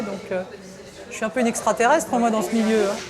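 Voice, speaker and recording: Amid crowd noise and audible room echo, a woman talks at a very fast pace. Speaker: aspiring singer. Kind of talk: documentary interview. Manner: casual, hesitant with fillers.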